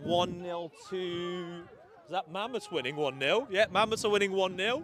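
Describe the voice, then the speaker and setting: A man speaks with a high pitch for a man and ordinary pitch variation. Noticeable background noise runs behind him. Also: moderate pace. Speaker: sports commentator. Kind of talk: live commentary. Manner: stumbling over words.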